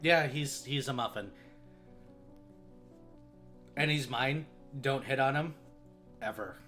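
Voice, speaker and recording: With music in the background, a man uses a raspy, put-on character voice at a medium pitch and a fairly slow pace. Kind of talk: relaxed, flat. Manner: extremely casual, offhand.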